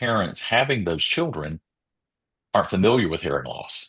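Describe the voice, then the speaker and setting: With a North Carolina accent, a man with a very deep, low pitch makes very wide pitch swings against a quiet background. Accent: US Southern (North Carolina). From rural eastern North Carolina. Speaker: educational audiologist. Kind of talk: interview.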